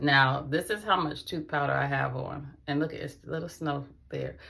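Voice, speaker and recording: Over noticeable background noise, a woman talks in a very deep, low voice with fairly even intonation. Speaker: vlogger. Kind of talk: casual vlog talk. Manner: fast; chatty.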